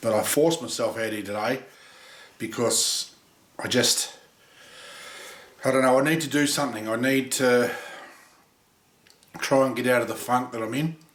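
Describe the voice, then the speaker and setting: Amid noticeable background noise and audible room echo, a man of medium pitch talks with fairly even intonation. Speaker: machinist building a machine. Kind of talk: workshop vlog. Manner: halting.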